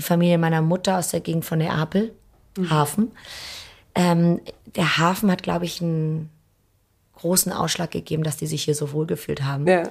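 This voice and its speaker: The recording is very clean, with a silent background, and a woman speaks at a moderate pace with long, frequent pauses. Her voice is somewhat breathy and fairly low in pitch, with fairly even intonation. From Hamburg, Germany. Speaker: restaurant owner. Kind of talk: interview. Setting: empty restaurant.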